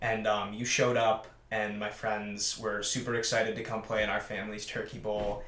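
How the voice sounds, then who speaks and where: A man speaks at a moderate pace with a fairly low pitch and monotone, flat intonation. Audible room echo and noticeable background noise surround him. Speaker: talk show co-host. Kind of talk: casual chat.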